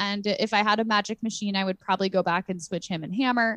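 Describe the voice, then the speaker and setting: An animated tone comes through as this woman speaks. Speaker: podcast host. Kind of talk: casual chat.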